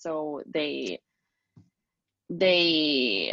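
In a Spanish accent, a woman speaks at a very deep, low pitch. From Spain. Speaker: singer and pet owner. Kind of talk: interview testimony. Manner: halting, many fillers.

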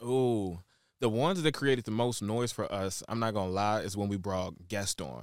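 Recorded very clean against a silent background, a man with an American accent speaks at a moderate pace in an ordinary speaking voice, with a fairly low pitch and ordinary pitch variation. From Shreveport, Louisiana (and Chicago). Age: 20s. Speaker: celebrity stylist and brand curator. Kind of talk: interview.

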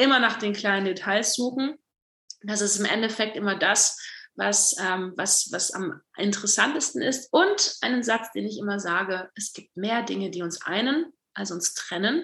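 Her bright, sharp tone sits at medium pitch as the woman speaks at a fairly slow pace with ordinary pitch variation. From East Belgium (German-speaking). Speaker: spoken word poet. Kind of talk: casual interview; performed spoken word poetry.

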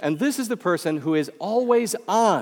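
A man with a Midwestern American accent and very wide pitch swings. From US Midwest. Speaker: professor. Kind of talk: sermon. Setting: chapel with audience.

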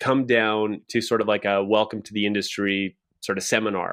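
The speaker is a man. He has a Canadian Prairies accent. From Saskatchewan, Canada. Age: 40s. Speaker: real estate team leader. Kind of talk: casual podcast interview.

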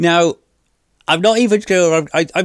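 A man with a British accent on a very clean recording with a silent background. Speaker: podcast host. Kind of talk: personal storytelling monologue.

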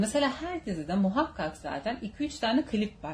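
The speaker is a woman with a somewhat breathy voice. She talks at a moderate pace. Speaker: podcast host. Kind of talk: casual chat. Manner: animated.

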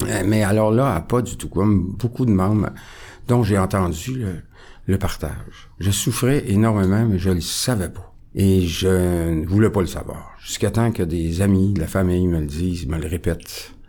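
This man's pitch is very deep and low, with a dark, mellow tone. He speaks fairly slowly with ordinary pitch variation. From Quebec, near Quebec City. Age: 60s. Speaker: recovering alcoholic sharing his story. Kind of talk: testimony. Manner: calm, composed.

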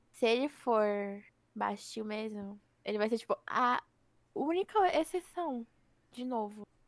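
In a dry, close recording with no echo, a woman with a fairly high pitch and lively intonation speaks at a very slow pace, with long, frequent pauses. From Brazil, Osasco (São Paulo area). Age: 20s. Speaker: podcast co-host. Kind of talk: casual chat. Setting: home recording, not a studio.

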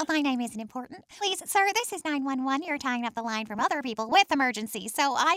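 A woman speaks with a high pitch and lively intonation at a fairly quick pace, with hardly any pauses. The sound is dry and close, with no echo. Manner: sassy, impatient, annoyed.

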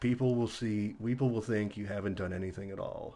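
A man speaks with fairly low pitch, a dark, mellow tone and fairly even intonation. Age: 30s. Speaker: geology student and musician. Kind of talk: casual chat.

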